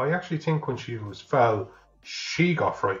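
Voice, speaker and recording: Fairly quick, fairly high-pitched speech from a man with an Irish accent, vocal fry and very wide pitch swings. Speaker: podcast co-host. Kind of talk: casual film review chat. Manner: joking, playful.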